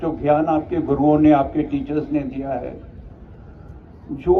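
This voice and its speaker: A man talks at a fairly high pitch with ordinary pitch variation. Audible room echo and noticeable background noise are present. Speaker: retired army officer, chief guest. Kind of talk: ceremonial speech.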